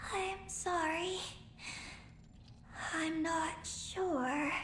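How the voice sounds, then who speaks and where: An extremely high put-on character voice with clear background noise. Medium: video game. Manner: terse, halting.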